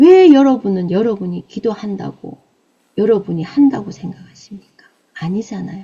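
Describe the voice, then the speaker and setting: A woman speaks in a Busan accent at a moderate pace, with medium pitch and ordinary pitch variation. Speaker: evangelist preacher. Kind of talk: sermon. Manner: emphatic, exhortative.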